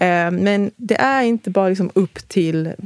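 A woman with an ordinary speaking voice talks at a medium pitch with ordinary pitch variation, in a dry, close sound with no echo. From moved to Sweden at age five. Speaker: union representative. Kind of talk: casual chat.

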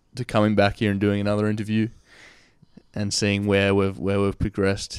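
In a very clean recording with a silent background, a man with an Australian accent speaks fairly low in a monotone, flat way. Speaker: podcast host. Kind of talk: interview. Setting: in a friend's room.

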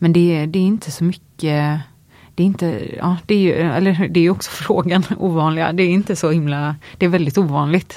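A woman's fairly low voice, dark and mellow in tone, with fairly even intonation and a moderate pace. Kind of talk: casual interview chat. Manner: hesitant, many fillers.

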